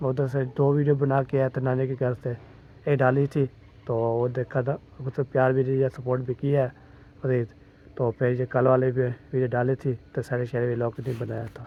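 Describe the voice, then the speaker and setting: Monotone, flat intonation carries a man's medium-pitched voice. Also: moderate pace. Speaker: vlogger. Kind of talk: casual vlog chat.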